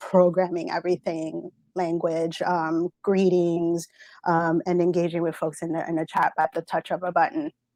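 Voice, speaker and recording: Speaking with a Spanish accent, this woman has a fairly low pitch and a moderate pace. The sound is dry and close, with no echo. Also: quiet background. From Central America. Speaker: Twitch moderator. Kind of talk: interview. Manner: halting, many fillers and repetitions.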